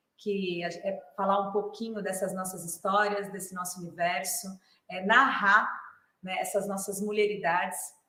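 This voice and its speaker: Amid audible room echo, a woman speaks at a fairly slow pace with medium pitch and monotone, flat intonation. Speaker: clown and theatre artist. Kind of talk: lecture.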